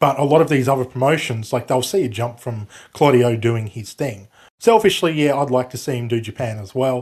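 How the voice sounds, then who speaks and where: A man with an Australian accent, at a fairly quick pace with ordinary pitch variation. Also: medium pitch for a man. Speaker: wrestling podcast co-host. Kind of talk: casual chat.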